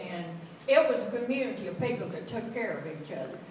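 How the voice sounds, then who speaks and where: A woman's high-pitched voice amid audible room echo and light background noise. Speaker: storyteller. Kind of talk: personal story told to an audience. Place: church. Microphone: camera far.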